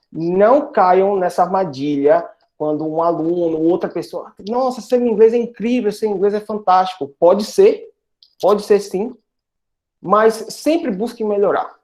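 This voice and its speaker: A man speaks at a fairly slow pace. His voice is high in pitch. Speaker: English teacher, guest speaker. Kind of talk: online talk to university students. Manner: animated, repetitive emphasis.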